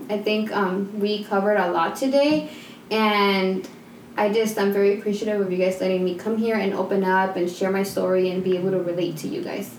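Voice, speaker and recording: A woman's medium-pitched voice with a slight Mexican accent, fairly quick and fairly even in intonation, with noticeable background noise and audible room echo. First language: Spanish. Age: 20s. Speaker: stay-at-home mom. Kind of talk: casual chat.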